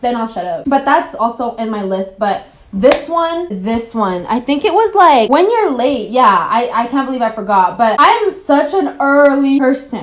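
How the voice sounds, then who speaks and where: Very wide pitch swings at a moderate pace with hardly any pauses, over noticeable background noise. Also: woman, high pitch for a woman. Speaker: YouTuber. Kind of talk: casual vlog monologue.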